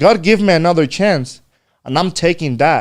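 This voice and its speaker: A speaker with a Spanish accent talks at a moderate pace. The recording is very clean, with a silent background. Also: man. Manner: casual, code-switching with halting pauses.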